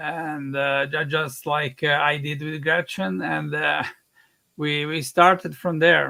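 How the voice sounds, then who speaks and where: Very slow speech from a man with an Italian accent, fairly high pitch and fairly even intonation. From Italy. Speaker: film director. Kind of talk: interview on live stream. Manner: hesitant, many fillers.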